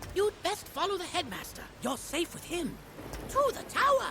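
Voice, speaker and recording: This put-on character voice has an extremely high pitch and a moderate pace. Clear background noise can be heard. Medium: video game. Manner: chirpy, enthusiastic.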